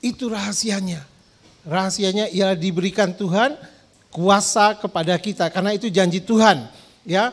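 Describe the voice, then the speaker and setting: The tone is animated, with a strong East Javanese accent. The pace is moderate. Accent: East Javanese, strong (medok). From East Java, Indonesia. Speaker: pastor. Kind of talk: sermon.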